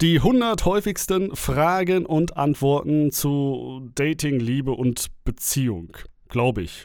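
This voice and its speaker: Speaking at a very slow pace, a man with a fairly high pitch uses lively intonation in a very clean recording with a silent background. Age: 30s. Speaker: dating coach and podcast host. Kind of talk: solo podcast monologue. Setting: home recording. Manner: casual, filler-heavy.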